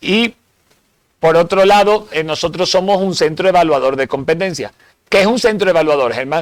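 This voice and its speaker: A man talks at a moderate pace. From Spain. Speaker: security instructor. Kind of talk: seminar lecture. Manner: hesitant with fillers.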